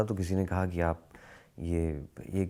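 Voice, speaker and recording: Male speech in a dark, mellow tone, captured as a very clean recording against a silent background. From Lucknow, India. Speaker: actor. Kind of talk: interview answer.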